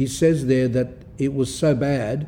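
A man talks with a fairly high pitch and a dark, mellow tone. His voice is somewhat breathy. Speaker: Orthodox priest-monk giving spiritual talks. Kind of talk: religious talk. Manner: sometimes slurred or halting; unpolished pronunciation.

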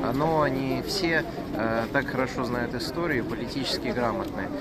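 Loud background noise surrounds a man speaking at a moderate pace with ordinary pitch variation, in a dry sound with no echo. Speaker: interviewee. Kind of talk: interview answer. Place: street. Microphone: phone near.

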